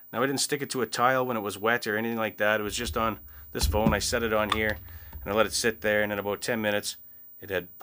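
Noticeable background noise sits behind a man talking at a very fast pace. His fairly low voice has a bright, sharp tone and fairly even intonation. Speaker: product reviewer. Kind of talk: product review talk. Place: home room.

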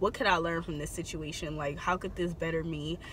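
A woman with a fairly low pitch talks at a fairly quick pace. The sound is dry with no echo, and there is light background noise. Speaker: beauty vlogger. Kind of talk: casual vlog chat. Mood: supportive, reflective. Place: car. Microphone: phone near.

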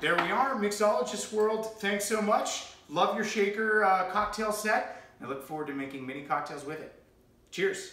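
A man's raised, projected voice, high-pitched for a man, with an American accent, lively intonation and big swings in loudness at a moderate pace, plus audible room echo and light background noise. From New Hampshire, USA. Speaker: cocktail coach and voice-over artist; cocktail host. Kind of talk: casual talk to camera, cocktail tutorial. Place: home room. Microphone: camera far.

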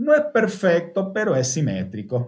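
Fairly slow speech from a man. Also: quiet background. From Argentina. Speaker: car audio engineer; car audio trainer. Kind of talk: webinar presentation. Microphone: webcam.

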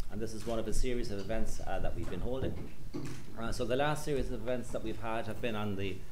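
A man speaks at a very fast pace with ordinary pitch variation. Light background noise can be heard. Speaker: event host. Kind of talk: panel introduction. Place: hall. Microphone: handheld.

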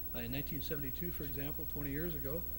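Amid noticeable background noise, a man speaks fairly quickly in a monotone, flat intonation. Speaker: club moderator. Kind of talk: formal introduction. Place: hall. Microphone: podium.

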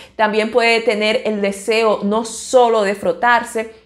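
A woman speaks at a fairly slow pace with a medium pitch. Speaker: ophthalmologist. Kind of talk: educational talk to camera. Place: office. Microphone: lapel.

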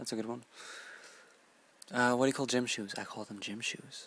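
The speaker is a man. There is no echo, and the sound is dry. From British Columbia, Canada. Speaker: vlogger. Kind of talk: casual talk to camera, word list reading. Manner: casual, relaxed. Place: home room. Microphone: earbuds.

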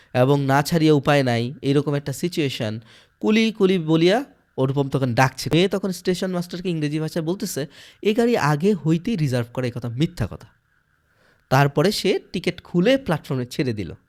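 The recording is very clean, with a silent background. A man with an ordinary speaking voice talks in a fairly high pitch with lively intonation. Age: 20s. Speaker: literature teacher. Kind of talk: lecture.

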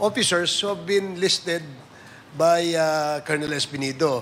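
Light background noise sits under a man speaking at a fairly slow pace. His high voice shows ordinary pitch variation. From Philippines. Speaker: committee chair, legislator. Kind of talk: congressional hearing. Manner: formal. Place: hall. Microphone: podium.

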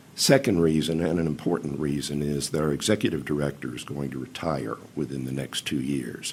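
A man with a very deep, low pitch talks at a fairly quick pace with fairly even intonation and hardly any pauses. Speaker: museum commission chairman. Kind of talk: public testimony. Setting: county council meeting. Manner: formal.

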